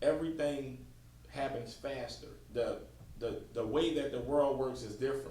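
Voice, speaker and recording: A man is speaking with audible room echo. Noticeable background noise is present. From New Orleans, Louisiana. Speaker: podcast host. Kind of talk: casual chat.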